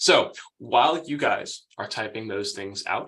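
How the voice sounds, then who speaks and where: A man speaks with an American accent. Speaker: email marketing agency owner, former stand-up comedian. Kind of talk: webinar presentation. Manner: casual, conversational.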